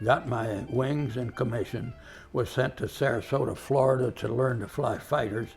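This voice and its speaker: Over music in the background, a man at medium pitch talks at a moderate pace with fairly even intonation. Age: 90s. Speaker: war veteran. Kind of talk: storytelling. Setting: museum.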